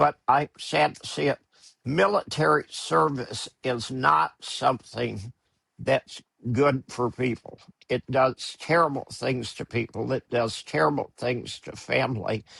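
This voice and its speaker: A man with an American accent, vocal fry, very wide pitch swings, and a bright, sharp tone in a dry, close sound with no echo. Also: medium pitch for a man, fairly slow pace. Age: 70s. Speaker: newsletter publisher, commentator. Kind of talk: interview conversation. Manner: blunt, emphatic.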